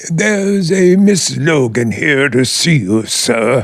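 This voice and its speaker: Putting on a character voice, a man speaks at a fairly slow pace in a fairly high pitch with very wide pitch swings. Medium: audio drama. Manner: formal, hesitant, deferential.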